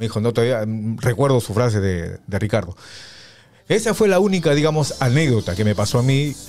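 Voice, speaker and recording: A man's medium-pitched voice with very wide pitch swings at a moderate pace. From Peru. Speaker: radio announcer; guest, former radio announcer. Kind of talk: casual chat. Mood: nostalgic, warm. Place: studio. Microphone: studio mic.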